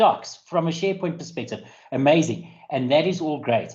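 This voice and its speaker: In a South African accent, a man talks at a moderate pace with a dark, mellow tone. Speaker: IT security specialist. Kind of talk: webinar presentation. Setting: online webinar.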